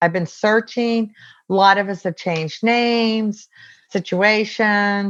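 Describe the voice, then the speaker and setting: An unremarkable speaking voice from a woman with an American accent, medium in pitch, fairly slow and fairly even in intonation. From US West Coast (San Diego, California). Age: 60s. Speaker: Navy veteran. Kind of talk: interview.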